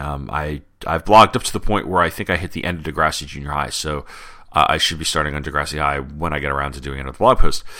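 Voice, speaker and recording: Speaking at a very fast pace, a man uses vocal fry at a very deep, low pitch. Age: 30s. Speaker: podcast host. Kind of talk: solo podcast commentary.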